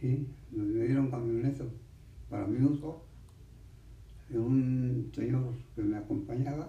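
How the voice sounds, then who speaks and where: A somewhat breathy voice with a dark, mellow tone and fairly even intonation carries audible room echo. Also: man. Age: 80s+. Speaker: centenarian interviewee. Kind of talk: interview.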